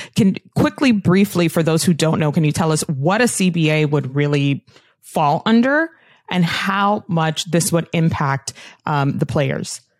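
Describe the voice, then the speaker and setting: With a dry, close sound and no echo, a woman with a normal speaking voice speaks fairly slowly in a fairly low pitch, using ordinary pitch variation. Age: 30s. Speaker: sports podcast co-host. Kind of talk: casual interview chat.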